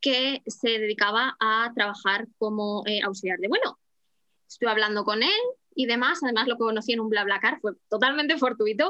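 A woman's fairly high, normal speaking voice at a moderate pace, with ordinary pitch variation. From Spain, Madrid. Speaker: flight attendant and language teacher. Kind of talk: casual interview.

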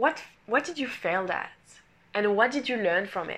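A woman speaks at a moderate pace in a bright, sharp tone. Her fairly high pitch carries lively intonation. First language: not English. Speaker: podcast host, coach. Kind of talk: solo podcast monologue. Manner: animated, motivational.

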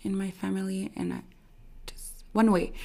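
Speaking in a Quebec accent, a woman uses a fairly low pitch and a dark, mellow tone at a fairly slow pace. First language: French. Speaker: social media creator. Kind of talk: interview. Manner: halting, many fillers.

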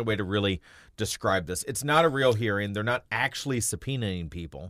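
A man with an unremarkable speaking voice uses lively intonation on a very clean recording with a silent background. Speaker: radio co-host. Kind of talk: angry political rant. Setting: radio studio broadcast.

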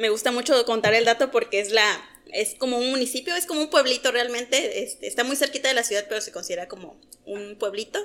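A woman's high-pitched, bright, sharp voice at a fairly quick pace, with ordinary pitch variation. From Oaxaca, Mexico. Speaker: pharmacy worker and podcast guest. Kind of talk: casual chat.

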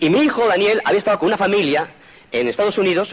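A man with a Spanish accent talks at a very fast pace over noticeable background noise. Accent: Peninsular Spanish. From Spain. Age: 50s. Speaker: motivational speaker. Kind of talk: motivational talk.

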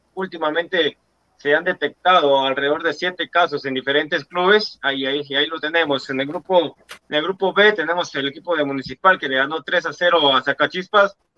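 Talking fairly quickly, a man with a fairly high voice uses fairly even intonation in an unremarkable speaking voice. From Guatemala. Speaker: football pundit. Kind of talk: sports talk show.

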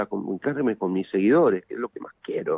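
In a Rioplatense accent, a man speaks at a fairly quick pace with a fairly low pitch. The recording is very clean with a silent background, and the sound is dry and close with no echo. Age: 50s. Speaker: musician. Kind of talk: interview.

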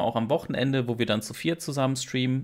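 This man talks at a moderate pace, his pitch fairly high. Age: 30s. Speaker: streamer. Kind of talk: casual chat. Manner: halting, many repetitions.

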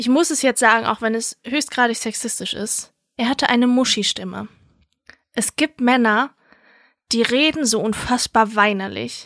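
A woman's fairly high voice at a moderate pace, with fairly even intonation, long, frequent pauses and a dry, close sound with no echo. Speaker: podcast co-host. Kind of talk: casual chat. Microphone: new microphone.

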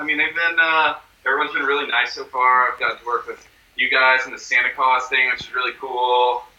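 There is noticeable background noise. Over it, a man keeps a moderate pace. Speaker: rock musician. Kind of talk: casual chat. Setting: video call.

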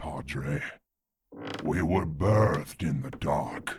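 The voice is raspy, moving at a very slow pace with ordinary pitch variation. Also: man, very deep, low pitch for a man. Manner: menacing, exultant.

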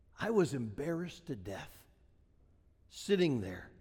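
A man with an American accent and a dark, mellow tone talks at a moderate pace in a fairly high pitch, with very wide pitch swings and audible room echo. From Wisconsin, US Midwest. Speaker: pastor. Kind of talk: sermon. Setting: church.

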